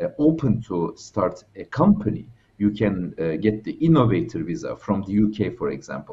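At a moderate pace, a man speaks in a somewhat breathy voice. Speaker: remote guest. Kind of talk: interview answer. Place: home room. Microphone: headset.

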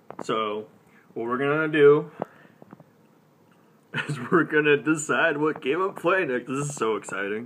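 Light background noise sits behind the speaker. A man talks at a moderate pace with lively intonation. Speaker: gaming channel host. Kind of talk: casual live stream talk. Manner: casual, hesitant. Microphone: phone near.

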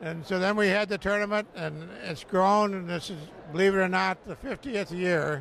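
A high-pitched man with a Michigan accent at a moderate pace, ordinary pitch variation, dry sound without echo and light background noise. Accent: Midwestern American (Michigan). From southeast Michigan, Pontiac. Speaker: golf course owner. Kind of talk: interview. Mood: warm, proud. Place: studio. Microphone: handheld.

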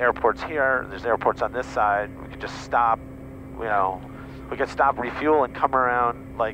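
Amid noticeable background noise, a man with very wide pitch swings speaks at a moderate pace in a dry sound with no echo. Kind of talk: cockpit discussion explaining weather. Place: plane. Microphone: headset.

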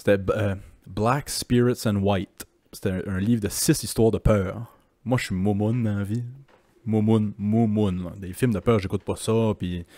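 A man with a fairly low pitch and a dark, mellow tone speaks fairly slowly with fairly even intonation. The sound is dry with no echo, and the background is quiet. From Quebec. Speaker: podcast host; podcast host or guest. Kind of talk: casual chat. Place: home room. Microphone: handheld.

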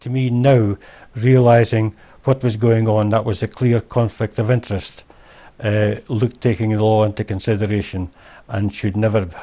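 With a Scottish accent, a man speaks in a dark, mellow tone at a fairly low pitch, his intonation fairly even. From Scotland. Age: old. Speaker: wrongly convicted garage manager; interviewee. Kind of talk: interview testimony. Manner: halting. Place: home room. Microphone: lapel.

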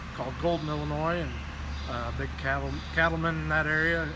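A man talks at a moderate pace, with noticeable background noise present throughout. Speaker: farm equipment salesman. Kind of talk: interview answer. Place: workshop. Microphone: phone near.

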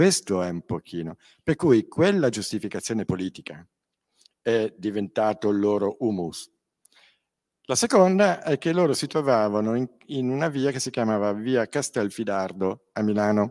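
Over a quiet background, a man at a fairly low pitch talks at a moderate pace with lively intonation and long, frequent pauses. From Milan, northern Italy. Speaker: crime victim and author. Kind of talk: panel talk at a public event. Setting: stage with audience. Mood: earnest, firm, indignant at times. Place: hall. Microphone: handheld.

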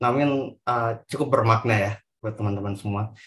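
A man talks with fairly even intonation. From Indonesia, West Sulawesi. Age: 20s. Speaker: moderator. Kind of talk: moderating online talk. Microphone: video call.

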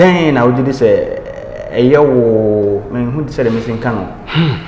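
A man speaks at a moderate pace, his pitch medium. The room echoes audibly, and light background noise runs underneath. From Ghana. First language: Twi/Akan. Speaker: journalist and show host; journalist, show host. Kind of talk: interview. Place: office.

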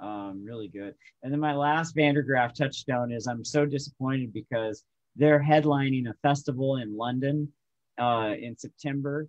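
Against a quiet background, a man with a plain, everyday voice speaks with fairly even intonation. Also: medium pitch for a man, moderate pace, big swings in loudness. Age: 40s. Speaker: musician; guest. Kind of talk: casual chat. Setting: video call. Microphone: video call.

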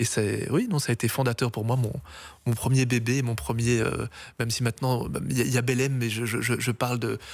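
Intonation stays fairly even as a man speaks at a moderate pace. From Brussels, Belgium. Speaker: accordionist; guest. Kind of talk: interview. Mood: warm, reminiscing. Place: studio. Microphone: studio mic.

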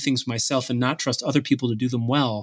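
In an American accent, a man with medium pitch talks at a fairly quick pace in an unremarkable speaking voice on a very clean recording with a silent background. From Buffalo, New York. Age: 40s. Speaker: tech company co-founder and psychologist. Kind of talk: interview.

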